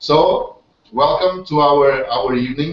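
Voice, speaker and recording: A man speaks with a Portuguese accent, at a medium pitch and with ordinary pitch variation. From Portugal. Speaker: webinar host, network marketer. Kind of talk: online hangout presentation. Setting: video call. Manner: halting, many fillers and repetitions.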